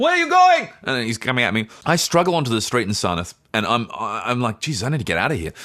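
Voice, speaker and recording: In an Australian accent, the speech runs at a very fast pace with hardly any pauses. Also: man. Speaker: podcast co-host and actor. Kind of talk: casual chat, storytelling.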